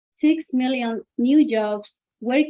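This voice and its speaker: A woman speaks in a dark, mellow tone. The sound is dry and close, without echo. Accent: Spanish. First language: Spanish. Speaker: author and businesswoman. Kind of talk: personal testimony speech.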